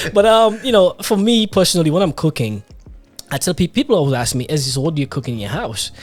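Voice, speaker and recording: Pitch swings very widely at a very fast pace. Music plays in the background. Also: man, high pitch for a man. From Grenada (Caribbean heritage). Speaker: podcast host. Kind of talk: casual interview chat.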